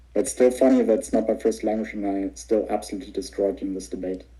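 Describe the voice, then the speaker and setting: A man at a very fast pace, with a non-native accent. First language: not English. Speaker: online debater. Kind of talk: heated debate. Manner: loud.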